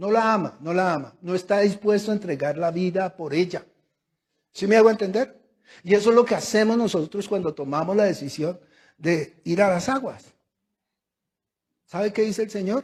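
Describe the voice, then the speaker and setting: A man talks at a high pitch. His pace is moderate. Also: ordinary pitch variation. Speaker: pastor. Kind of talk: sermon. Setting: church service. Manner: emphatic, repetitive.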